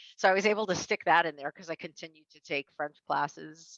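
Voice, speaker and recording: A woman with an American accent and vocal fry talks at a fairly quick pace, the sound dry and close with no echo. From US, New York City (Queens). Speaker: interior design professor and life coach. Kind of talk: interview.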